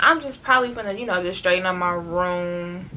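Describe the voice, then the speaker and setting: A woman's medium-pitched voice comes through with audible room echo and noticeable background noise. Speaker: vlogger. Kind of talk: casual vlog talk to camera. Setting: bedroom at home. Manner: loud.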